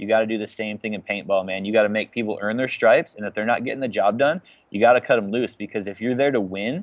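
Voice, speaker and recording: With a plain, everyday voice, a man speaks at a fairly low pitch and with fairly even intonation. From Chicago, US Midwest. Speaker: pro paintball team captain. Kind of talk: casual interview chat.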